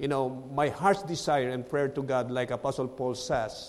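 Speaking with a Filipino accent, a man keeps a moderate pace. His intonation is fairly even. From Philippines. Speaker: missionary preacher. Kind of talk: sermon. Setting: church. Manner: halting, uses fillers.

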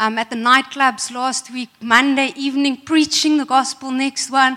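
A woman speaks in a raised, projected voice at a high pitch with a bright, sharp tone. Her pace is fairly slow and her intonation monotone and flat. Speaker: preacher. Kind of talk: sermon. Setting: church.

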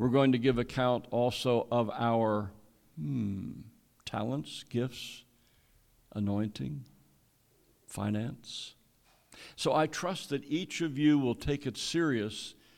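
Speech moves at a very slow pace with long, frequent pauses and lively intonation. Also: man, medium pitch for a man. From US Northeast. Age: 80s+. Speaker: missionary preacher. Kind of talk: sermon. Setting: church.

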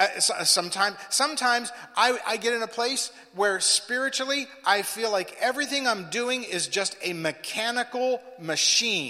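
A raised, projected voice speaks in an animated tone at a moderate pace with ordinary pitch variation, over noticeable background noise. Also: man, extremely high pitch for a man. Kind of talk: sermon. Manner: animated, rhythmic preacher's delivery that builds through repetition; exhorting, call-and-response with congregation.

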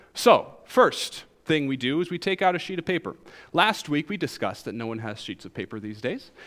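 A man with an American accent talks at a fairly quick pace and a fairly high pitch, with very wide pitch swings and big swings in loudness. The recording is very clean, with a silent background. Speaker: preacher. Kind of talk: sermon.

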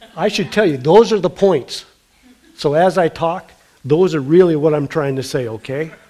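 This is an ordinary speaking voice from a man with an American accent, pitched fairly high for a man. He moves at a moderate pace with ordinary pitch variation. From US Midwest (South Dakota). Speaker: pastor. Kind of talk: sermon. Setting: church.

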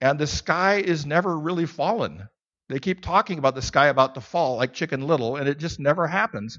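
Here a man has an unremarkable speaking voice, fairly high in pitch with ordinary variation, speaking at a fairly quick pace over a quiet background in a dry, close sound with no echo. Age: 60s. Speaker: Bible teacher. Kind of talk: sermon.

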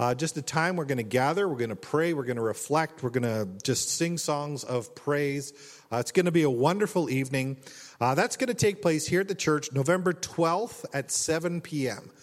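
A man talks in a plain, everyday voice at a fairly high pitch. His pace is moderate and his intonation lively. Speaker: associate pastor. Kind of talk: church announcements, casual.

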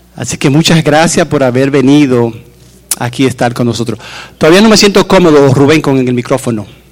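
Here a man speaks fairly quickly at a fairly high pitch with ordinary pitch variation. He has a normal speaking voice. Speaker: guest preacher. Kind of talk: sermon. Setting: church. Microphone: echoey sound.

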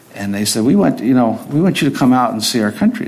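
A man with an American accent speaks with lively intonation. Audible room echo and noticeable background noise are present. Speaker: missionary. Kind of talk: sermon. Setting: church.

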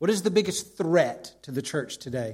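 A man with an American accent and lively intonation, in a plain, everyday voice. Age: 50s. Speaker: preacher. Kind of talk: sermon.

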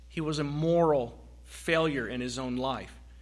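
With a fairly high pitch and a bright, sharp tone, a man talks with ordinary pitch variation in audible room echo. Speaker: pastor. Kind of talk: sermon. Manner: halting.

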